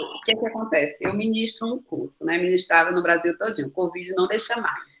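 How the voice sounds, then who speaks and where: Here a woman talks in an animated tone. Her pitch is medium with ordinary variation. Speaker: nutritionist. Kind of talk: online talk Q&A. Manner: fast.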